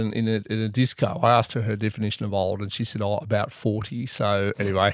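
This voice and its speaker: Over noticeable background noise, a man with an Australian accent talks at a very fast pace. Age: 50s. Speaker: podcast co-host. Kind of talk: casual chat. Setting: studio.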